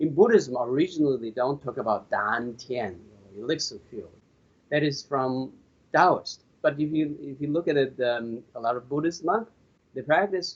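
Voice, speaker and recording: This man has a Chinese accent and a fairly high pitch, and he speaks at a fairly slow pace. His intonation is lively, with long, frequent pauses. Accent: Chinese (Mandarin). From China. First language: Mandarin Chinese. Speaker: qigong master. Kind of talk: interview. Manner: halting, repetitive.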